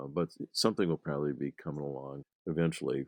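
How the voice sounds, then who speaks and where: A man speaks at a moderate pace with fairly even intonation and vocal fry. His very deep, low voice sounds dry and close, with no echo. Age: 70s. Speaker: grape breeder. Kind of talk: interview. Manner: halting, many fillers.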